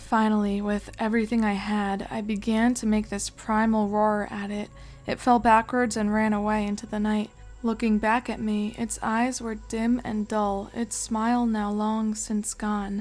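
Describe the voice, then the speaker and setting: Music runs in the background as a woman speaks at a fairly slow pace. Her pitch is fairly high and her intonation is monotone and flat. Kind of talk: horror story reading.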